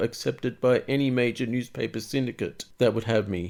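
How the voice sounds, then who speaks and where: On a very clean recording with a silent background, a man with an Australian accent speaks at a moderate pace in a medium-pitched voice. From east coast of Australia. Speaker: cartoonist. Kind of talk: casual monologue.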